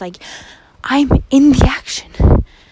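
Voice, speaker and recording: Noticeable background noise sits behind a woman whose tone is animated. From Norway. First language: Norwegian. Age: 20s. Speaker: student podcaster. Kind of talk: casual monologue.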